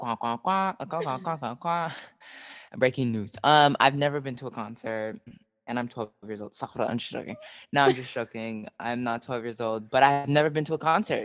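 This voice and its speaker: Speaking fairly quickly with an American accent, a man uses a medium pitch, ordinary pitch variation and an animated tone. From Southern California. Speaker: podcast co-host. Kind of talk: casual chat.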